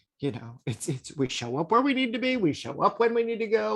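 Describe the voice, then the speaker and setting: Speaking at a very fast pace, a man swings his pitch very widely in a very clean recording with a silent background. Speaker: occult teacher. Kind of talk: lecture. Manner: animated.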